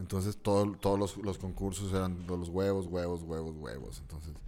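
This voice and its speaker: A man speaks at a moderate pace with a Mexican accent. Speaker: comedian. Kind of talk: casual chat.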